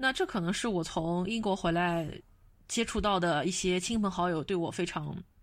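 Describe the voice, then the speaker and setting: Heard in a very clean recording with a silent background, an unremarkable speaking voice moves at a moderate pace with ordinary pitch variation and very even loudness. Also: woman, medium pitch for a woman. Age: 30s. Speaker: podcast host. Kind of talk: casual chat.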